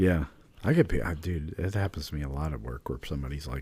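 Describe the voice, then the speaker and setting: Speaking at a moderate pace, a man with a very deep, low pitch and a dark, mellow tone sounds somewhat breathy, his intonation lively. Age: 40s. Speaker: podcast co-host, military veteran. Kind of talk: casual chat.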